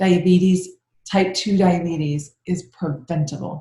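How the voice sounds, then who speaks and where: A woman speaks with fairly even intonation and a dark, mellow tone. Her voice is somewhat breathy. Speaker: functional medicine doctor. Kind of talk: webinar presentation. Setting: online webinar. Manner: fast.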